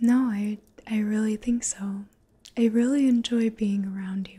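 Against a quiet background, a soft-spoken woman talks in a somewhat breathy, dark and mellow tone with monotone, flat intonation. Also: fairly slow pace. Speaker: roleplay host. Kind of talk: intimate roleplay talk to viewer. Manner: soft tender close-mic voice. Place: home room. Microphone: phone near.

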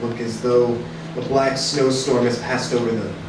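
A man talks at a fairly slow pace with ordinary pitch variation. Noticeable background noise and audible room echo fill the recording. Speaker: radio play narrator. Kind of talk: dramatic reading. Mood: grave, measured narration. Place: stage.

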